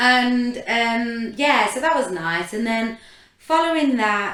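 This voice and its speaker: At a fairly slow pace, a woman speaks with very wide pitch swings amid audible room echo. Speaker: podcast co-host, reality TV contestant. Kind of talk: casual chat.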